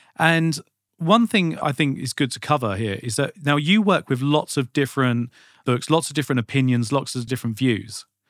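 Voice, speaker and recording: An unremarkable speaking voice from a man, fairly high in pitch, with lively intonation at a moderate pace and a dry, close sound with no echo. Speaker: podcast host. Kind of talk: casual interview chat.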